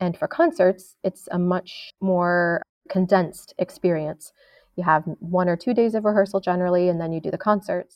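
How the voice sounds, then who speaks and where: Here is a woman with an American accent and an unremarkable speaking voice, medium in pitch, fairly even in intonation and moderate in pace. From New York State. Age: 30s. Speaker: opera singer. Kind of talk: interview.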